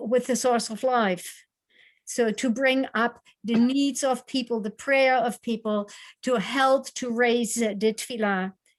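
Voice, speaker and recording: In a very clean recording with a silent background, a woman with a non-native accent speaks high-pitched with fairly even intonation. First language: not English. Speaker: cantor. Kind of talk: panel discussion. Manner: halting.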